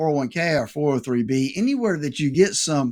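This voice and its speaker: With a normal speaking voice, a man talks at a moderate pace with lively intonation and a fairly high pitch. The recording is very clean, with a silent background. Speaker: financial advisor, radio show host. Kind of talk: radio show financial advice talk.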